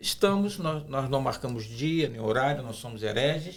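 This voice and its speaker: A man talks with very wide pitch swings. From Brazil. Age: 60s. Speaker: pastor. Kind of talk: podcast discussion. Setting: studio.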